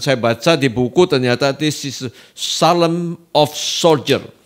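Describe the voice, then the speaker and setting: The man's voice sits fairly high in pitch. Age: 70s. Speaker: doctor and preacher. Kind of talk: podcast interview. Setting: studio.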